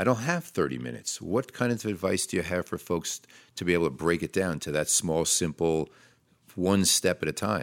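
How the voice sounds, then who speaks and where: A man's very deep, low voice with vocal fry at a moderate pace, dry and close with no echo, on a very clean recording with a silent background. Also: lively intonation. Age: 60s. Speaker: podcast host, behavioral psychologist. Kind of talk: interview. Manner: hesitant, many fillers.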